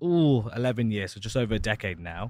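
Speaking very fast in an East Midlands accent, a man is heard on a very clean recording with a silent background. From Leicester, England. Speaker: podcast host. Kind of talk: casual chat.

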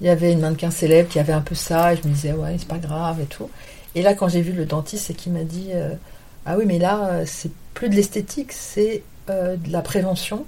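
A woman with a fairly low pitch and a dark, mellow tone speaks at a fairly quick pace, somewhat breathy, with fairly even intonation. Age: 50s. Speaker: model and agent. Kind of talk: interview. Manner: hesitant.

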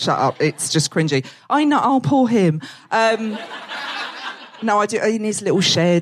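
With an Essex accent, a woman speaks at a moderate pace in a fairly high voice with very wide pitch swings, long and frequent pauses, and very even loudness. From Essex, England. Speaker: comedian. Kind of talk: stand-up. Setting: stage with audience.

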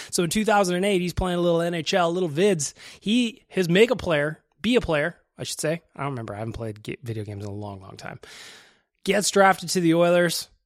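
An animated, very fast man in a Western Canadian accent, high-pitched, with very wide pitch swings and big swings in loudness. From Edmonton, Alberta, Canada. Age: 30s. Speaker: hockey podcast host. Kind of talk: casual chat.

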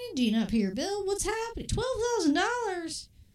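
Her pitch is extremely high, and she is a woman speaking at a moderate pace. Very wide pitch swings carry through audible room echo. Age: 20s. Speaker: podcast co-host. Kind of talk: casual chat. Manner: animated.

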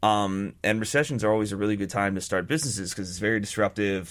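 Over a silent background in a very clean recording, a man talks very fast at a fairly low pitch with ordinary pitch variation. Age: 30s. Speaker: beer company co-founder. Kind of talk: radio interview. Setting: radio studio.

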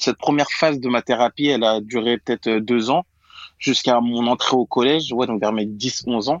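A man speaks at a moderate pace and medium pitch. His intonation is fairly even. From Paris region, France. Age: 20s. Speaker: conversion therapy survivor. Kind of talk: testimony. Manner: halting.

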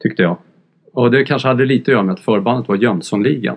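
A man speaks at a medium pitch with ordinary pitch variation. Vocal fry comes through in his voice. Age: 50s. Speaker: music journalist. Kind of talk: casual chat. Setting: studio.

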